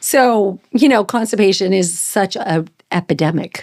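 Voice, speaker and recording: A woman with an ordinary speaking voice, ordinary pitch variation and a fairly slow pace. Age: 60s. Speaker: holistic nutritionist. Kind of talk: casual interview.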